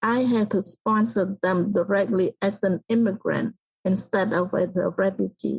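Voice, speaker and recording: A woman speaks at a fairly slow pace with vocal fry and fairly even intonation. Her loudness stays very even, and the sound is dry and close with no echo. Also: medium pitch for a woman. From Cambodia. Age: 60s. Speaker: author and public speaker. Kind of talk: interview.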